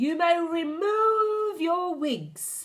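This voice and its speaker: In a put-on character voice, a woman growls at an extremely high pitch. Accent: non-native. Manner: snarling, harsh.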